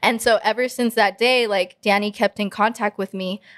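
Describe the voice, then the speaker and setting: A woman with an American accent speaks in a medium pitch with fairly even intonation. The recording is very clean with a silent background and a dry, close sound with no echo. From Texas. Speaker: singer. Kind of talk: casual interview. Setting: studio.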